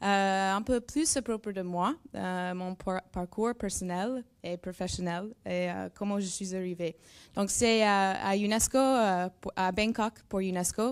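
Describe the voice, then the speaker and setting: In a very clean recording with a silent background, a woman talks at a very slow pace. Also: medium pitch for a woman, ordinary pitch variation. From United States. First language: English (speaking French). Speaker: neuroscience researcher. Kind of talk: presentation. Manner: halting.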